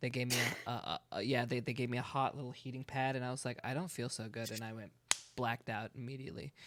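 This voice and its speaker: Very fast, a man of medium pitch keeps his intonation fairly even. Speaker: livestreamer and roleplayer. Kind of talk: casual chat. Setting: live stream in VR. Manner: fast, quick back-and-forth.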